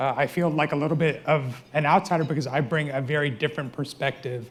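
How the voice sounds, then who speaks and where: On a very clean recording with a silent background, a man with an American accent speaks very fast in a fairly high, somewhat breathy voice with fairly even intonation. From United States. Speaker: trauma surgeon. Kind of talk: panel discussion.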